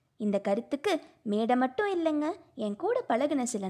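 A woman's high voice with very wide pitch swings. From Tamil Nadu, Pollachi (Kongu region). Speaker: engineering student, new podcaster. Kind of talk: personal introduction monologue.

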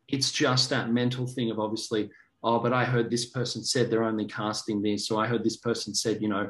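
A man with an Australian accent speaks at a fairly quick pace. His medium-pitched voice has monotone, flat intonation. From Australia (Sydney). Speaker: actor and director. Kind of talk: casual interview.

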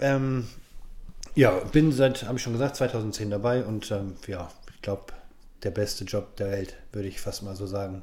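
Pausing long and often, a man with a dark, mellow tone and fairly low pitch speaks at a moderate pace, with ordinary pitch variation and big swings in loudness. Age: 40s. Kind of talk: interview. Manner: halting.

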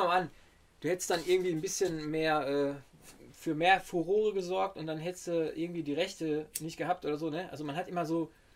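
The man talks at a fairly quick pace. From Ruhr area, Germany. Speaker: rapper and beat producer. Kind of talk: casual interview. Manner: halting.

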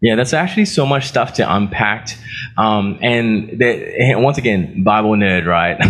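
A man with an American accent and a medium pitch speaks with lively intonation and very even loudness, and room echo is audible. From Australia. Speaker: pastor. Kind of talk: sermon.

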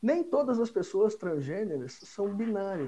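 A dark, mellow tone moves at a moderate pace through very wide pitch swings. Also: man. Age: 40s. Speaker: accountant. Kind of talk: explanatory interview talk.

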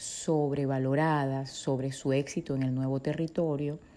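On a very clean recording with a silent background, a woman speaks very slowly in a dark, mellow tone. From Venezuela. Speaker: psychologist and podcast host. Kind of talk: educational talk.

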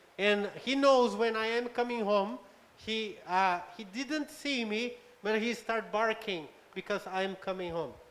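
Very slowly, a man speaks in a high pitch with ordinary pitch variation. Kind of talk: live interpretation of a sermon. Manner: halting.

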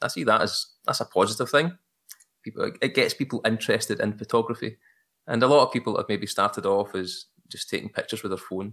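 Talking at a very fast pace, a man speaks with a Glaswegian accent. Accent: Glaswegian Scottish. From Glasgow, Scotland. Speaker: hobbyist photographer. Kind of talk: casual interview chat.

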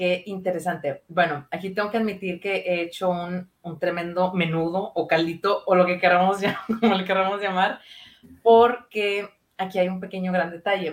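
A woman's medium-pitched voice at a moderate pace, flat and monotone in intonation. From Monterrey, northern Mexico. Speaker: psychologist. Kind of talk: casual chat.

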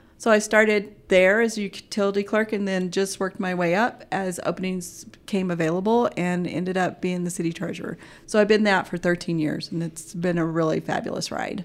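Moving at a fairly quick pace with fairly even intonation, this is an ordinary speaking voice with an American accent. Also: woman, medium pitch for a woman, hardly any pauses. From Alaska and Oklahoma. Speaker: city treasurer. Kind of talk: interview.

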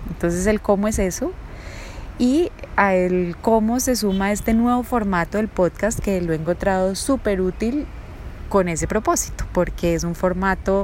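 A woman at medium pitch with ordinary pitch variation and a fairly slow pace. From Colombia, raised in Bogotá (born Bucaramanga). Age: 40s. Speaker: life coach and podcast host. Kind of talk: personal monologue. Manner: hesitant, many fillers.

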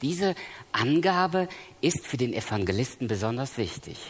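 A man speaks at a medium pitch, his voice swinging very widely up and down. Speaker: preacher. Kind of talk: sermon. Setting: church seminar with audience. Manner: earnest, emphatic.

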